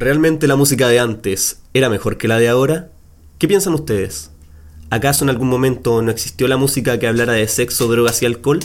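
A man in a plain, everyday voice speaks with ordinary pitch variation, keeping a medium pitch and a moderate pace. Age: 20s. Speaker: podcast host. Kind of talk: scripted intro; casual chat.

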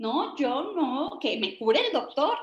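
A woman speaks very slowly in a high pitch. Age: 30s. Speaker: natural medicine speaker. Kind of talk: talk. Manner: casual, conversational.

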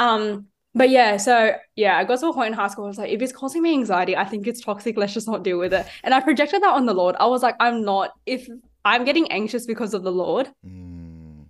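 A woman talks at a fairly quick pace with an Australian accent. Her voice is fairly high, with ordinary pitch variation, against a quiet background. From Sydney, Australia. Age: 19. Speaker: youth minister. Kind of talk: casual interview.

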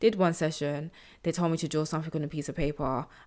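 A woman talks with a London accent. Her pitch is very deep and low. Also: very clean recording, silent background. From South London, England. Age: 20s. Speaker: podcast host and social entrepreneur. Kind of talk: personal storytelling monologue.

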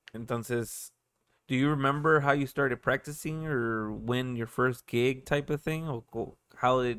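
In a very clean recording with a silent background, a man uses a normal speaking voice at medium pitch, talking at a moderate pace with fairly even intonation. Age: 30s. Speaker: podcast host. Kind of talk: casual chat.

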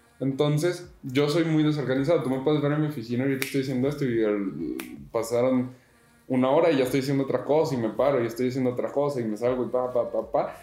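A man speaks at a very fast pace, with audible room echo. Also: medium pitch for a man, fairly even intonation. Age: 20s. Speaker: podcaster. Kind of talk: casual chat.

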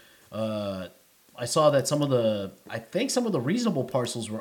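At a moderate pace, a man with a New York accent speaks in a medium pitch. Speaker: crypto community livestream host. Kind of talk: casual chat. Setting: online group call.

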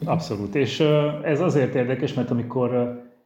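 Recorded with audible room echo, a man speaks at a moderate pace in a somewhat breathy voice of medium pitch. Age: 40s. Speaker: Benedictine monk and teacher. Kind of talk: interview. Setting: virtual studio.

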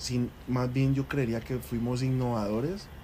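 A man speaks in an unremarkable speaking voice at a medium pitch. His intonation stays fairly even. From Colombia, Cali. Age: 20s. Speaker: restaurant entrepreneur. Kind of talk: interview.

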